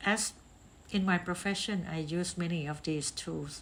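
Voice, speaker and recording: A somewhat breathy woman with a non-native accent. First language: not English. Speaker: podcast host, talent assessment consultant. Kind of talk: reflective monologue. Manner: hesitant with filler ums.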